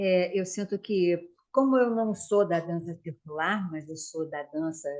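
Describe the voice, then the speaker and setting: At a fairly slow pace, a woman talks in an unremarkable speaking voice, fairly low in pitch with ordinary pitch variation. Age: 60s. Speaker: dance school owner and student. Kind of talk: casual chat.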